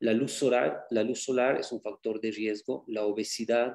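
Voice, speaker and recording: This man has an unremarkable speaking voice, medium in pitch, and speaks at a fairly slow pace. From Bolivia. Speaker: medical doctor, cancer specialist. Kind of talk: lecture. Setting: video call.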